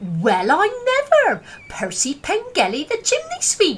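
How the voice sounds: A female-sounding put-on character voice rings out at an extremely high pitch and a fairly slow pace.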